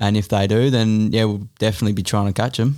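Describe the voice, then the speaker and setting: On a very clean recording with a silent background, a fairly low-voiced man with an Australian accent speaks in a flat monotone. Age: 30s. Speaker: enduro mountain bike racer. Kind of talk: casual chat.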